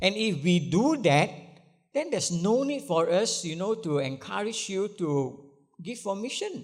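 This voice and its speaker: Speaking fairly slowly with a Malaysian accent, a man uses a high pitch and very wide pitch swings, with audible room echo. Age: 70s. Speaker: pastor. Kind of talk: sermon. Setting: church. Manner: halting, many fillers.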